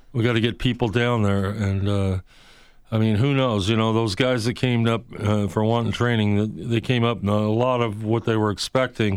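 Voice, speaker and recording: A man speaks in a monotone, flat intonation. His loudness stays very even. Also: medium pitch for a man, moderate pace. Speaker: street preacher. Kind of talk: talk radio interview. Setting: studio.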